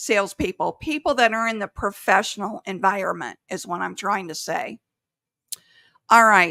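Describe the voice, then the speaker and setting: In a very clean recording with a silent background and a dry, close sound free of echo, a woman with vocal fry and a bright, sharp tone speaks with lively intonation and big swings in loudness. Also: medium pitch for a woman. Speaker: sales coach. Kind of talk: podcast monologue. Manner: slow; careful enunciation.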